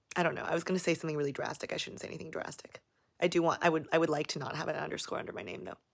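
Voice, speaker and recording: An animated woman with an American accent talks at a very fast pace in a very deep, low voice, with vocal fry and big swings in loudness. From Las Vegas, US. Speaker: YouTuber. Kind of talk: livestream Q&A. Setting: livestream.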